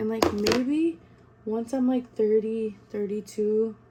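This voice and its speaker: A woman's fairly high voice is heard with noticeable noise behind it. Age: 20s. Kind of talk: casual talk to camera. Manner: chatty, casual.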